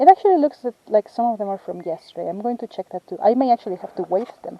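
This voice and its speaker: With a non-native accent, a woman speaks in a fairly high voice, her intonation lively and her loudness swinging widely. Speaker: field ecologist. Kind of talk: field vlog tutorial. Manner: halting.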